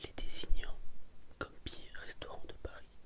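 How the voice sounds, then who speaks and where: A whisper moves along at a fairly slow pace. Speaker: ASMR creator. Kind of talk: ASMR reading of restaurant reviews. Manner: whispered.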